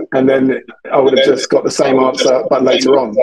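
The recording is dry and close, without any echo. It carries a man's voice with a British accent. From England, London. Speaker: sales agency founder, outbound sales expert. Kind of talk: podcast interview. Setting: video call, remote.

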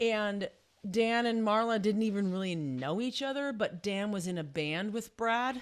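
A woman with a plain, everyday voice, fairly high in pitch, with lively intonation at a moderate pace on a very clean recording with a silent background. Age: 50s. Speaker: vocal teacher. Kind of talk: casual chat.

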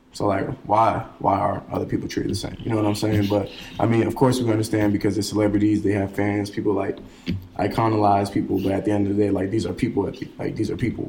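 Someone with an American accent speaks at a very fast pace in monotone, flat intonation. Noticeable background noise and audible room echo fill the recording. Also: man, fairly low pitch for a man. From Brooklyn, New York. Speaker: college student guest. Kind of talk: casual chat.

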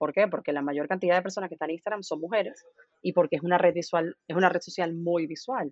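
A woman speaks at a very fast pace, her pitch fairly low. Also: ordinary pitch variation. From Venezuela. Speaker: marketing agency founder. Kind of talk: interview.

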